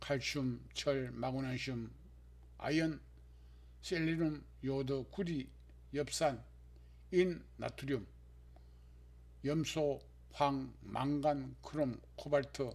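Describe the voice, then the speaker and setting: A man talks very slowly, stopping often for long pauses. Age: 70s. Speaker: health vlogger, stroke survivor. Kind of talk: scripted narration.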